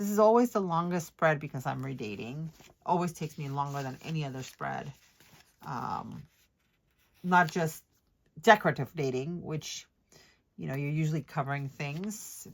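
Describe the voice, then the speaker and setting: On a very clean recording with a silent background, the voice shows big swings in loudness and long, frequent pauses. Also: woman, very deep, low pitch for a woman, lively intonation, moderate pace. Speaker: planner decorating youtuber. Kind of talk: casual voiceover tutorial while crafting. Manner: hesitant, many ums.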